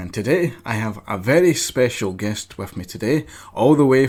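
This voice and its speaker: A man has a plain, everyday voice and lively intonation. He talks at a fairly slow pace. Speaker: podcast host. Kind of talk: podcast host intro. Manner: playful, mock-grand.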